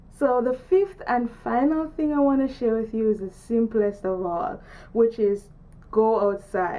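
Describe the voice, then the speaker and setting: A woman with a Jamaican accent, fairly slow pace and ordinary pitch variation. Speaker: artist and vlogger. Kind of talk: casual video tutorial. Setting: outdoors downtown.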